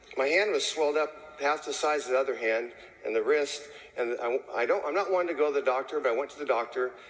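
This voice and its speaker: A man rattles along at a very fast pace, fairly high in pitch with ordinary pitch variation, over noticeable background noise. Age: 60s. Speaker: chimney sweep and network marketing distributor. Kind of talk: testimony. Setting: stage with audience. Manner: casual.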